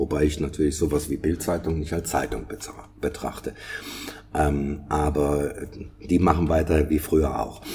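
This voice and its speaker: In a very deep, low voice, a man speaks at a moderate pace with monotone, flat intonation and long, frequent pauses, over noticeable background noise. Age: 60s. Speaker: podcast co-host. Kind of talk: casual chat. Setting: online remote recording. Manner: halting, many fillers and repetitions.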